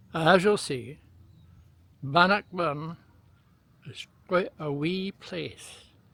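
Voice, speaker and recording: Speaking at a very slow pace with long, frequent pauses, a man with a Scottish accent uses a high pitch, ordinary pitch variation and a bright, sharp tone. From Scotland, near Stirling. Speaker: travel video maker. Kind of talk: travel vlog narration.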